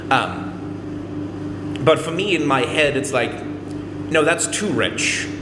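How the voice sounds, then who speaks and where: Loud and very slow, the voice swings widely in pitch, with noticeable background noise and audible room echo. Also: man. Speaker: vlogger. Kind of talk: casual vlog monologue. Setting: laundry room with echo. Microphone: echoey room reverb.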